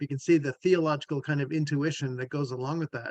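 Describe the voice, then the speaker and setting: A man with a fairly high pitch and a normal speaking voice. His pitch varies in an ordinary way. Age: 60s. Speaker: theologian and family systems therapist. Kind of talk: discussion. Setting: video call.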